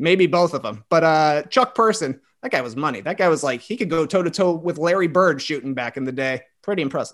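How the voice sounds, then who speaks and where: With an American accent and a plain, everyday voice, a man talks at a fairly quick pace in a fairly high pitch, his intonation lively. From US Midwest, small town near Chicago, Illinois. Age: 30s. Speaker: podcaster. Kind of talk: casual chat.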